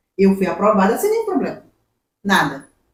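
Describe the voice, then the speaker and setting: A woman speaks in a normal speaking voice at medium pitch and a fairly quick pace. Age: 60s. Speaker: human resources professional. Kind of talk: podcast interview.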